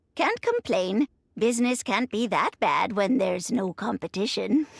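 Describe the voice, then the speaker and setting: A woman puts on a character voice at a fairly high pitch and moderate pace. Her loudness stays very even, and the sound is dry and close with no echo. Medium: video game. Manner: chatty, chuckling.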